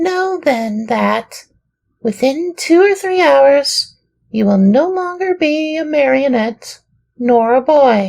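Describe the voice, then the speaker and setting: A put-on character voice, high in pitch and very slow in pace. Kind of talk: children's audiobook reading. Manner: sorrowful, gentle.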